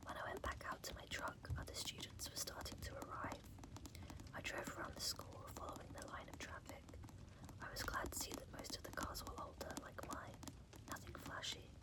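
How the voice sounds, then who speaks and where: Someone is whispering at a moderate pace. Noticeable background noise sits behind it. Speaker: ASMR creator. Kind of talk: ASMR bedtime reading. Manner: soft-spoken, whispered.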